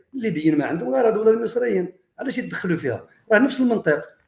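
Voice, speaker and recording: A man's high voice makes very wide pitch swings as he talks at a fairly quick pace. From Morocco. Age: 60s. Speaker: history and heritage researcher, commentator. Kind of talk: monologue commentary addressed to viewers. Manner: animated; halting.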